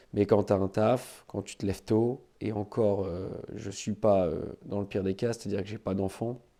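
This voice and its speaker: Against a quiet background, a man with a dark, mellow tone and a fairly low pitch speaks at a moderate pace with fairly even intonation. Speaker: podcaster and fitness coach. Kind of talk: casual monologue podcast. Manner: hesitant, many fillers.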